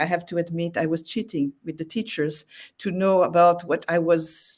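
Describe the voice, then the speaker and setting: At a moderate pace, a woman with a non-native accent speaks on a very clean recording with a silent background. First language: not English. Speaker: exhibiting artist. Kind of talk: interview. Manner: halting.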